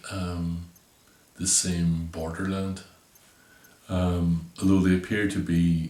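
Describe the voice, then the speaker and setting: A man with a Northern Irish accent speaks at a fairly slow pace, his pitch very deep and low. His intonation stays monotone and flat, broken by long, frequent pauses. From Northern Ireland. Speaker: visual artist. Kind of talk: interview answer explaining his artwork. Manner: hesitant, thoughtful, many fillers.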